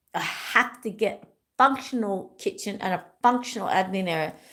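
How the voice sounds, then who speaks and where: An animated woman with an Australian accent speaks at a medium pitch with ordinary pitch variation on a very clean recording with a silent background. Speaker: wellness YouTuber. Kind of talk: casual livestream chat. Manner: rambling, repetitive.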